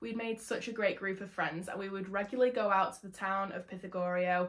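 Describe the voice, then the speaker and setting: Over a quiet background, a woman with an English accent talks at a medium pitch. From England. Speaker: travel vlogger; conservation vlogger. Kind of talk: vlog narration. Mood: warm, enthusiastic. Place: home room.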